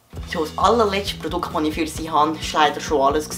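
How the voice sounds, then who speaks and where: Music plays behind a man speaking at a fairly quick pace. His voice is fairly high, with ordinary pitch variation. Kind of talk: comedic parody of a TV shopping ad. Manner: hesitant, playful.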